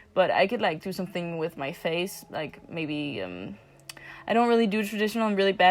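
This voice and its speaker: Speaking at a moderate pace with a non-native accent, a woman uses a fairly low pitch. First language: not English. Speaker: amateur digital artist, vlogger. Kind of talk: casual voiceover commentary. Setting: at another house, not home. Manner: hesitant, many fillers.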